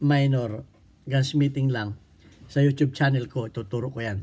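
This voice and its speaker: On a very clean recording with a silent background, a man speaks at a moderate pace with fairly even intonation. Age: 60s. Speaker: firearms instructor. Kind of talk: tutorial. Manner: halting.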